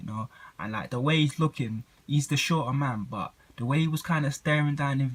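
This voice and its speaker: Speaking with a London accent at a fairly quick pace, a man sounds somewhat breathy, with lively intonation on a very clean recording with a silent background. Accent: London, multicultural London English. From southeast London. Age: 20s. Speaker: boxing YouTuber and amateur boxer. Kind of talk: casual vlog commentary. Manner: hesitant, many fillers.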